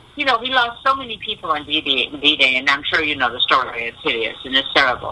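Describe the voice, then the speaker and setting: Through noticeable background noise, a woman with an American accent talks at a very fast pace in a very deep, low pitch with very wide pitch swings. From USA. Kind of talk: radio interview.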